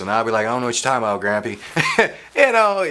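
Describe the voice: Very fast speech from a man, with ordinary pitch variation, cuts through noticeable background noise.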